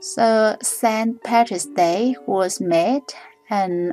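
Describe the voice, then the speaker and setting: Music plays in the background as a woman with a Vietnamese accent speaks very slowly at a fairly high pitch. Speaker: drawing tutorial creator. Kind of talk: reading aloud; tutorial. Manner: halting.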